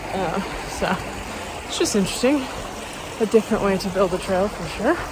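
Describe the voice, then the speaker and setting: Over noticeable background noise, a woman speaks at a moderate pace with ordinary pitch variation in a dry sound with no echo. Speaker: long-distance hiker vlogger. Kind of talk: casual vlog chat. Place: open country. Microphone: phone near.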